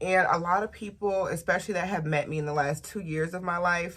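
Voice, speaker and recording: This is a plain, everyday voice. Its intonation is fairly even. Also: woman. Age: 20s. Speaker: lifestyle and beauty vlogger. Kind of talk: casual vlog talk to camera.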